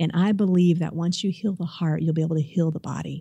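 A woman's very deep, low voice, somewhat breathy and monotone, at a very fast pace in a very clean recording with a silent background. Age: 40s. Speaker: chiropractor. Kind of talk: casual chat. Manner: halting.

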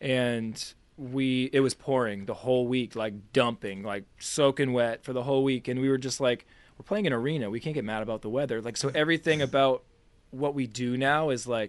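A plain, everyday voice, fairly quick in pace and ordinary in its pitch variation. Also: man, medium pitch for a man. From US Northeast, Boston. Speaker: musician. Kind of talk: casual interview.

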